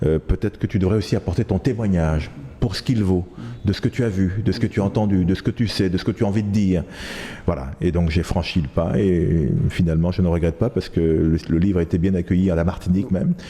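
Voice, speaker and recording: Very fast speech over noticeable background noise, with very even loudness throughout. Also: man, very deep, low pitch for a man, ordinary pitch variation. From Ivory Coast (Abidjan), then France from age 13. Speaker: journalist and author. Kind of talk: interview. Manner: hesitant, many fillers.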